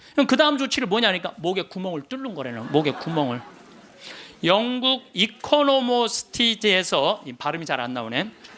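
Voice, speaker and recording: A man speaks in a bright, sharp, animated tone at a moderate pace. His pitch swings very widely. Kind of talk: lecture.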